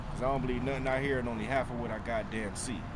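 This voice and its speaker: Amid loud background noise, a man is talking. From Rochester, New York, US. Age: 30s. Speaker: local community figure interviewed on street. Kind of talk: street interview, casual monologue. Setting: outdoors on a city street. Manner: animated. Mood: blunt, preachy, heated. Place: street. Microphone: phone near.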